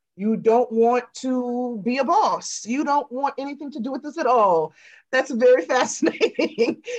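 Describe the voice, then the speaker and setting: Against a quiet background, a woman with an American accent speaks at a high pitch and a moderate pace, her intonation lively. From Chicago South Suburbs, Illinois. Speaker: celebrity journalist and screenwriter. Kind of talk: interview conversation. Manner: animated.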